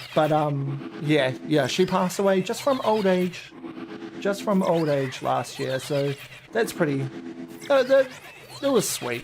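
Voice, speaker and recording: Someone talks in a relaxed tone with a New Zealand accent, at a fairly slow pace over noticeable background noise. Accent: Kiwi. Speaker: shiny hunting gaming streamer. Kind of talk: casual live stream chat. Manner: relaxed, chatty.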